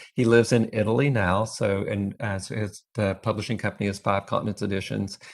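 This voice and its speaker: A man with a Texas accent, fairly low in pitch, at a fairly quick pace with hardly any pauses. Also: fairly even intonation. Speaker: photo collector and book author. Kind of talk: panel talk at museum event. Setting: museum event with live and online audience. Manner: hesitant, with fillers.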